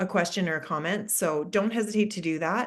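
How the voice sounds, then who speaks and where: A woman speaks at a very fast pace. Her voice sits at medium pitch with ordinary pitch variation. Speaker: mental skills consultant. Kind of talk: webinar presentation. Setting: online webinar.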